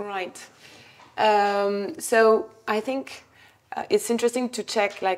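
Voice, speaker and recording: In a French accent, a woman talks at a very slow pace with long, frequent pauses. Her pitch is fairly high, with ordinary pitch variation. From France. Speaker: adtech company CEO and co-founder. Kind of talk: interview at whiteboard, explaining. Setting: office. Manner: hesitant, many fillers.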